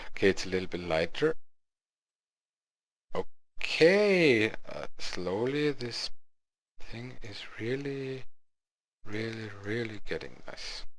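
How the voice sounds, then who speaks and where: With a German accent and lively intonation, a man speaks very slowly, taking long, frequent pauses. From Lower Austria. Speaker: goldsmith. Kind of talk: software tutorial narration. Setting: home recording, low sound quality.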